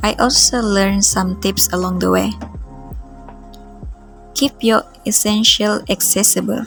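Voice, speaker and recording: A woman with a non-native accent, music playing in the background. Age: 20s. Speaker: art vlogger. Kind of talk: reflective vlog voice-over.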